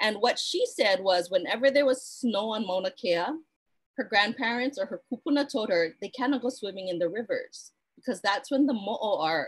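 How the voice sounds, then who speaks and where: This voice carries a Hawaiian accent. The intonation is lively. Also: woman. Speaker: cultural practitioner. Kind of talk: online talk. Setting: live stream. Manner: fast.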